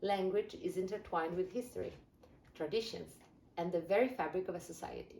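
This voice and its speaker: In an Italian accent, a woman speaks fairly quickly at a medium pitch with lively intonation. Her tone is dark, mellow and somewhat breathy. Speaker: language learning youtuber. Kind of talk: scripted explainer video.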